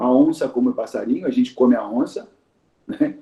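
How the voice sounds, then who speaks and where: A man speaks at a moderate pace. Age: 60s. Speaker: teacher of Yoruba tradition. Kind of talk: talk in a conversation circle. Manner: hesitant, repeats words.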